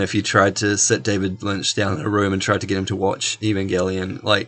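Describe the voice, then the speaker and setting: This man talks at a fairly quick pace with a slight New Zealand accent. His pitch sits fairly low. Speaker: podcast co-host. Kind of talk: casual chat.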